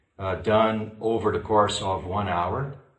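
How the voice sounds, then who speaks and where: A man with a non-native accent, fairly low pitch and a somewhat breathy voice, fairly slow pace, audible room echo. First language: not English. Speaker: spiritual school lecturer. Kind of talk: public lecture. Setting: online conference. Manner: halting, many fillers.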